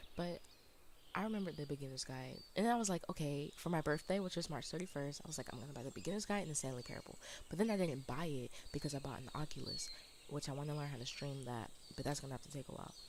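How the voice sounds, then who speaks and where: Speaking at a very fast pace, a woman keeps her voice quiet and her pitch very deep and low. Her intonation is lively. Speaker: video game streamer. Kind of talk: casual gameplay commentary. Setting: live stream.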